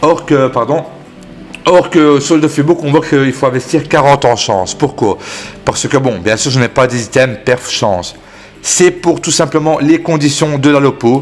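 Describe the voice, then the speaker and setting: A man with a Belgian accent and a fairly high pitch, at a fairly slow pace, over noticeable background noise. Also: ordinary pitch variation. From Belgium. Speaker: gaming YouTuber. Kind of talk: gaming tutorial. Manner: hesitant, many fillers.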